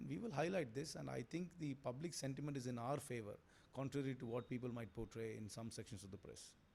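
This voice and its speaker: Somewhat breathy, a man talks at a very fast pace and medium pitch, with ordinary pitch variation. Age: 40s. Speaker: politician, election candidate. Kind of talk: interview answer. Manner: confident.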